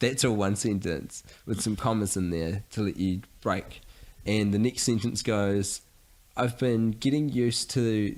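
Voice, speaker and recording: A man with a New Zealand accent and a fairly low pitch, at a fairly slow pace, with ordinary pitch variation and very even loudness. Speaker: podcast co-host. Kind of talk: casual chat.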